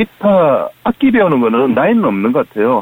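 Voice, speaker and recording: Here a man speaks with a Busan accent at a moderate pace. His pitch swings very widely. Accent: Gyeongsang (Busan) dialect. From Busan, South Korea. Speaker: amateur band club leader. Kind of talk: phone interview. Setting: phone call.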